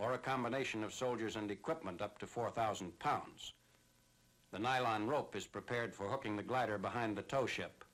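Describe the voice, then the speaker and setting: A man with an ordinary speaking voice, medium pitch, ordinary pitch variation and a fairly quick pace. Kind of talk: wartime newsreel narration.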